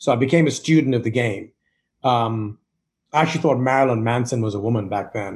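Against a quiet background, a man with an American accent talks at a fairly quick pace. His medium-pitched voice is somewhat breathy and varies in pitch in an ordinary way. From Zambia, Indian heritage, schooled in UK. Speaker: marketing executive and investor. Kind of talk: interview.

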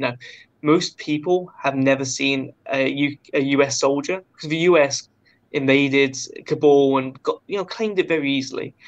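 Delivery is fairly slow with a British accent. Intonation stays fairly even. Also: man, fairly high pitch for a man. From Britain. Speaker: guest, travel YouTuber.

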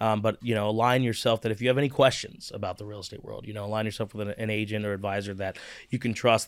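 With a Midwestern American accent, a man speaks very fast with hardly any pauses in a fairly low, flat monotone on a very clean recording with a silent background. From US Midwest, Cincinnati, Ohio. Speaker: real estate agent. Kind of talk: interview.

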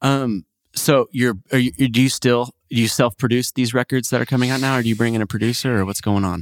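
In a very clean recording with a silent background and a dry, close sound without echo, a man speaks with an American accent in an ordinary speaking voice, at medium pitch and with fairly even intonation. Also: fairly quick pace. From Oklahoma. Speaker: podcast host. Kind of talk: casual chat.

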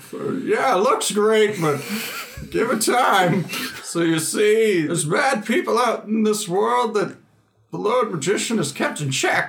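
Put-on character voice from a man, high-pitched and fairly slow. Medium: actual play. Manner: folksy, rambling, grandfatherly.

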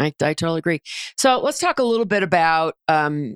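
With an American accent, a woman talks at a fairly quick pace in a normal speaking voice and a fairly low pitch, the sound dry and close with no echo on a very clean recording with a silent background. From New Jersey. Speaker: podcast host and leadership coach. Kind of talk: interview.

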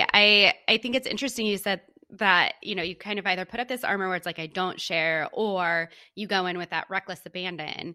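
Speaking at a fairly quick pace, a woman with a medium pitch and ordinary pitch variation has an unremarkable speaking voice. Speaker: podcast host, marketing entrepreneur. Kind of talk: casual interview chat.

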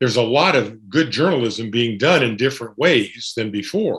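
Medium pitch from a man with an American accent and an unremarkable speaking voice. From US Pacific Northwest. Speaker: sports journalist. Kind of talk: casual interview.

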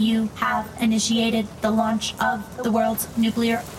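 A robotic, female-sounding put-on character voice at fairly high pitch talks at a fairly slow pace over loud background noise. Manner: cold, mechanical.

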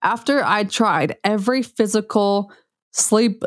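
A woman with an American accent speaks at a medium pitch in an animated tone. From US, Utah (rural central Utah). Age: 30s. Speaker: functional medicine practitioner and podcast host. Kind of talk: personal monologue.

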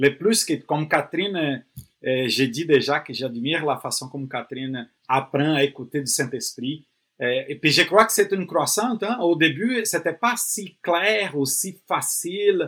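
With a normal speaking voice, the speaker uses lively intonation at a fairly slow pace, recorded very cleanly against a silent background. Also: man, fairly high pitch for a man. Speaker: pastor and missionary. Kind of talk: podcast conversation.

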